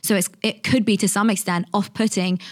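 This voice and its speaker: In a London accent, a woman talks at a very fast pace and medium pitch. Her intonation is monotone and flat. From England, London. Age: 20s. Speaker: author and content creator. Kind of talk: casual interview chat.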